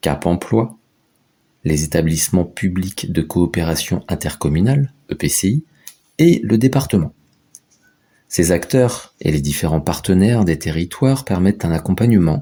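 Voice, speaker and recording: A man's very deep, low voice with a dark, mellow tone and lively intonation, at a fairly slow pace with long, frequent pauses. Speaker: voice-over narrator. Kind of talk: animated explainer narration.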